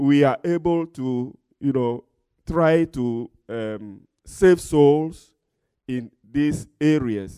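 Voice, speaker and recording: With a dark, mellow tone and fairly high pitch, a man speaks at a very slow pace with lively intonation and long, frequent pauses in a very clean recording with a silent background. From Togo, West Africa. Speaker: pastor and missionary. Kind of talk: testimony, church talk.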